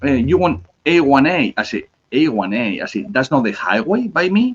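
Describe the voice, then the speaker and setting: Speaking with a Spanish accent, a man uses a fairly high pitch with very wide pitch swings and vocal fry. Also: moderate pace. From Spain, Basque Country (Bilbao). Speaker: cigar company representative. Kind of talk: casual chat. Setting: live stream.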